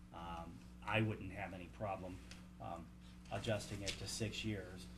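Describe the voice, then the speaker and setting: A man speaks at a fairly slow pace in a very deep, low voice. His intonation is lively, and the room echoes audibly. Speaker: school board member. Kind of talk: board meeting discussion.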